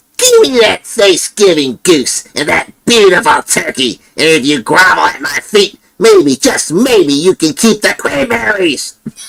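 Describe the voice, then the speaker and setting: Putting on a character voice, a man talks at a fairly slow pace and a high pitch, with hardly any pauses. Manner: angry, demanding.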